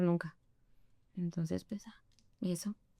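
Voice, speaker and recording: A woman's moderately paced speech comes through with a dry, close sound and no echo. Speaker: interview guest. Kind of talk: casual interview chat.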